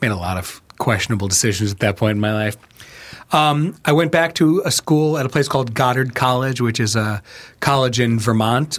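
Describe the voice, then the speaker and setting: Using a normal speaking voice with an American accent, a man talks at a medium pitch and a fairly quick pace with lively intonation, in a very clean recording with a silent background. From New York, then Chicago from age ten. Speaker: writer and filmmaker. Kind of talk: casual chat.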